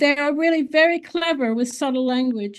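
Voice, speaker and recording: A woman with an English accent at a moderate pace, with very wide pitch swings. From US. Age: 80s+. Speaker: author. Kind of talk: interview conversation.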